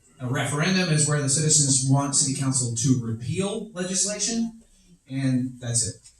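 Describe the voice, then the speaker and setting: Background noise is noticeable behind a man's fairly high voice. His intonation is lively. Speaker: city official presenting charter amendments. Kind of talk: public meeting presentation. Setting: town hall meeting with audience. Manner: fast.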